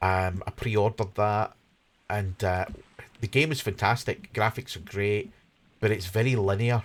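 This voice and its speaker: A man with a Scottish accent sounds somewhat breathy and keeps fairly even intonation on a very clean recording with a silent background. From Scotland, Glasgow. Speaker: gaming streamer. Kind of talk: live stream gameplay commentary. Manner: casual, hesitant with fillers.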